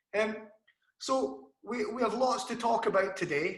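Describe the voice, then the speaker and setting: In a Scottish accent, a man uses a raised, projected voice at a high pitch and moderate pace. Audible echo fills the room. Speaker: interviewer, channel host. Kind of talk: scripted introduction; interview.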